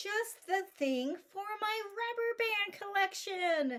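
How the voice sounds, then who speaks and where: A woman uses a put-on character voice that is squeaky and pitched extremely high. She talks at a very slow pace with lively intonation. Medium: read story.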